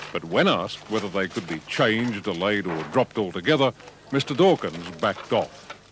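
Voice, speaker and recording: A man at a moderate pace, with noticeable background noise behind him. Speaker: news reporter. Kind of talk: TV news report.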